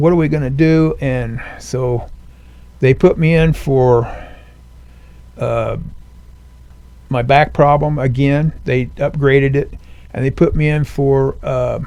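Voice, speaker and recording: Fairly high for a man yet dark and mellow in tone, his voice moves at a very slow pace with fairly even intonation and long, frequent pauses. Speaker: Navy veteran. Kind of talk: interview. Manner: halting.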